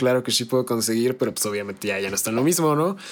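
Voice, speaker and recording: At a very fast pace, a man with a Mexican accent speaks at medium pitch with very wide pitch swings. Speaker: gaming podcast host. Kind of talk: casual chat.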